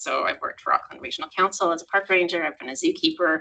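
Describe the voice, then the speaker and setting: A speaker with a Canadian accent talks at a very fast pace. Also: woman. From Canada. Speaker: environmental monitoring officer. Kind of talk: meeting introduction. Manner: casual, hesitant.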